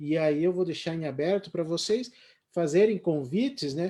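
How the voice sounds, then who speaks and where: A man's dark, mellow tone, with ordinary pitch variation, comes through on a very clean recording with a silent background. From Paraná, Brazil. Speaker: live stream host. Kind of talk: casual panel discussion. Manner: halting, many fillers.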